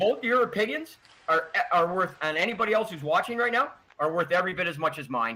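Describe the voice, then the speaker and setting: Very fast, raised and projected male voice, high-pitched and animated, with very wide pitch swings. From Quebec. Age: 60s. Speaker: hockey historian. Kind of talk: podcast interview.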